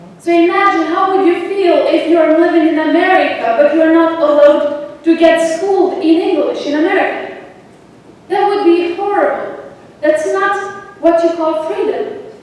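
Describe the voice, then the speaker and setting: Amid noticeable background noise and audible room echo, a woman with an extremely high pitch talks at a moderate pace with ordinary pitch variation. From Kosovo. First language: Albanian. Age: 20s. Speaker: astronomy outreach speaker, student. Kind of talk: public talk.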